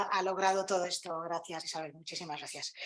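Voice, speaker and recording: This woman's voice moves through ordinary pitch variation. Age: 60s. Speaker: panel speaker. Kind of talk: conference talk. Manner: halting, many repetitions.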